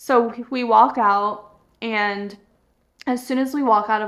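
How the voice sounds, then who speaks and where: A woman with an American accent has a fairly high pitch and fairly even intonation, an unremarkable speaking voice. The background is quiet. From Florida. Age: 30s. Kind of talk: casual storytelling vlog. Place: home room.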